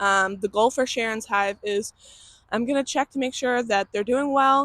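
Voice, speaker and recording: A woman speaks at a fairly high pitch and moderate pace with ordinary pitch variation, dry and close with no echo, on a very clean recording with a silent background. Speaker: beekeeper. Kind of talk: casual vlog narration. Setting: outdoors. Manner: loud.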